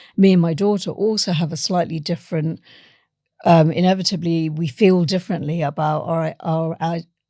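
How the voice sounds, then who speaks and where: In a very clean recording with a silent background, a woman is heard. Her tone is dark and mellow, her intonation fairly even. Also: fairly low pitch for a woman, moderate pace. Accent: British. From India and England. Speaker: author and science journalist. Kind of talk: interview conversation.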